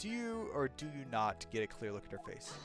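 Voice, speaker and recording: Putting on a character voice, a man talks loudly at a fairly quick pace over clear music in the background. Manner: shouting, forceful.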